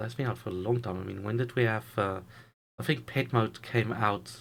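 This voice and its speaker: Vocal fry runs through fairly quick, fairly even speech on a very clean recording with a silent background. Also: man. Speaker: YouTube investing commentator. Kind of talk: solo video commentary. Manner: halting, stumbles over words.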